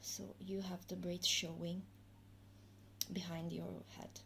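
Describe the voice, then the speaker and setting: Amid audible room echo, a woman talks at a very slow pace. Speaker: hair tutorial youtuber. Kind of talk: tutorial. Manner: halting, many fillers.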